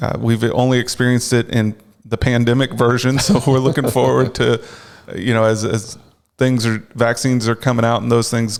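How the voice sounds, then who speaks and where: A man speaks at a medium pitch and a moderate pace, with a slight North Carolina accent. His loudness stays very even, and his intonation is fairly even. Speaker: clergy charity officer. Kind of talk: interview.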